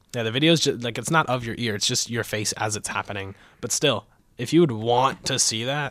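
A man with a normal speaking voice talks fairly quickly at medium pitch with ordinary pitch variation, in a very clean recording with a silent background. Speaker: student podcast co-host. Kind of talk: casual chat.

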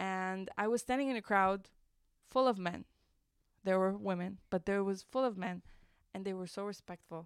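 Moderate pace and long, frequent pauses in a very clean recording with a silent background. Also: woman, medium pitch for a woman, fairly even intonation. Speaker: radio host and university media manager. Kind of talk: casual interview.

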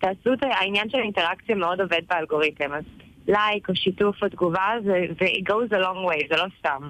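A woman moves at a fairly quick pace, her medium-pitched voice varying in an ordinary way. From Israel, Tel Aviv. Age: 20s. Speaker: social media content creator. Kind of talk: interview. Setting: on a train.

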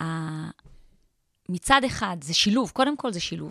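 In a very clean recording with a silent background, a woman speaks at a medium pitch. Her tone is bright and sharp, and her pitch swings very widely. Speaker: entrepreneur and author. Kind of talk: interview. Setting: studio.

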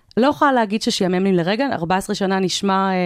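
On a very clean recording with a silent background and a dry, close sound with no echo, a woman with an unremarkable speaking voice talks at a fairly quick pace with a medium pitch and ordinary pitch variation. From Israel, childhood partly in South Africa. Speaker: corporate communications manager. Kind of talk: interview.

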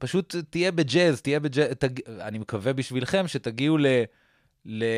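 A man with a medium pitch and an ordinary speaking voice talks at a moderate pace with lively intonation, recorded with a dry, close sound with no echo against a quiet background. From Israel, partly raised in Boston suburbs. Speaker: comedian. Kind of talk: casual interview.

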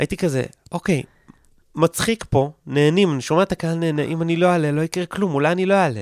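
Speaking very fast, a man uses a high voice with ordinary pitch variation. The sound is dry and close, with no echo. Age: 20s. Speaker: comedian and content creator. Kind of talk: casual interview. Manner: halting.

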